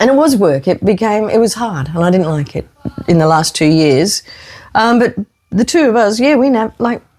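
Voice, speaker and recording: Lively intonation marks a woman's moderately paced speech in an Australian accent. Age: 60s. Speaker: retired school teacher. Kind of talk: casual chat.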